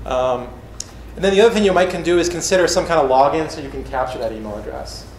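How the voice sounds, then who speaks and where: Speaking at a very fast pace, a man swings widely in loudness amid noticeable background noise and audible room echo. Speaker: conference speaker on mobile apps. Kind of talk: conference talk.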